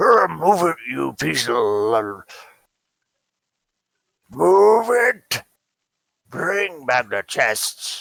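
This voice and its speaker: A man's put-on character voice, very slow, broken by long, frequent pauses. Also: medium pitch for a man. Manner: gruff, barking orders.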